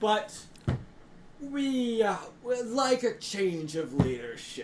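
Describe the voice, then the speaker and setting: A man does a put-on character voice at an extremely high pitch and a very slow pace. Background noise is clearly present. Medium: actual play. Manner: pompous, exasperated.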